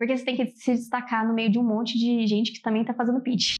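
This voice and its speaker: Flat, monotone intonation marks this woman's fairly high voice. The background is quiet. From São Paulo state, Brazil. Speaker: computer science student. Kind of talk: interview.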